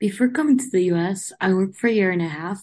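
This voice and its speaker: A woman with a Spanish accent talks at a very fast pace, her pitch medium with ordinary variation. The background is quiet. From Uruguay. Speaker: podcast host. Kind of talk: interview.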